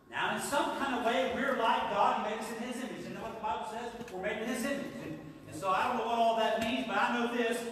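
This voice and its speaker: A man speaks with an extremely high pitch. Strong room echo and light background noise fill the recording. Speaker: preacher. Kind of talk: live Sunday sermon to a congregation. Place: church.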